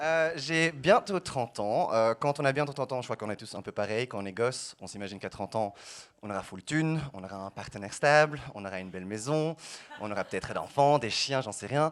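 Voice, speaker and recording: This man has a Belgian accent and a medium pitch. He talks at a fairly quick pace with lively intonation and big swings in loudness. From Belgium, Brussels. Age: 20s. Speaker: stand-up comedian. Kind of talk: stand-up.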